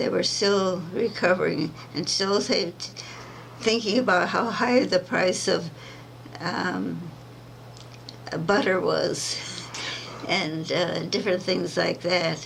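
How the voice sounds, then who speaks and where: Pausing long and often, a woman speaks very slowly at a medium pitch with ordinary pitch variation, amid noticeable background noise and audible room echo. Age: 80s+. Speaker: centenarian activist. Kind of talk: interview. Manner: halting.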